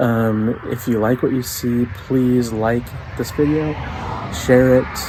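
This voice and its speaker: A quiet man's monotone, flat intonation amid noticeable background noise. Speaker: outdoors and cooking vlogger. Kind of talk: casual vlog. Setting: at home at night.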